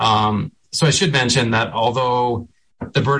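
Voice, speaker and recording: A man with an American accent, an ordinary speaking voice, fairly slow pace and fairly even intonation. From central Maine, US. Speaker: state wildlife agency director. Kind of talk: radio interview. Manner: frequent filler ums.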